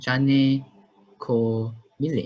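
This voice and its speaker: A man is speaking. His voice is somewhat breathy. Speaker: university student interviewer. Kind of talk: interview. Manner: halting, hesitant.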